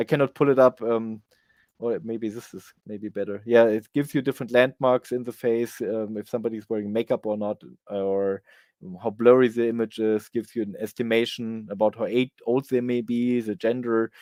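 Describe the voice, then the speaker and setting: A man's medium-pitched, dark, mellow voice with a German accent, flat and monotone at a moderate pace, dry and close with no echo on a very clean recording with a silent background. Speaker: conference speaker on software development. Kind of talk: conference talk Q&A. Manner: halting, many fillers.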